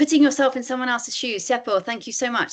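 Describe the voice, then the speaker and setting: A woman is speaking. Her pace is very fast. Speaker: author and empathy advocate giving a workshop. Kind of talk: webinar presentation.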